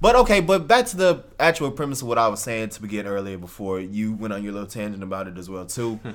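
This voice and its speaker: A man talks at a very fast pace with hardly any pauses. His loudness swings widely. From Texas, Houston area. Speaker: podcast co-host. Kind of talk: casual chat.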